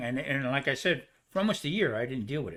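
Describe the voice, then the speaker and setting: Here a man speaks with a fairly high pitch and a bright, sharp tone. His intonation is lively, and the recording is very clean with a silent background. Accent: New Jersey. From New Jersey. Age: 70s. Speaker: cancer survivor, cook. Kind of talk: casual chat.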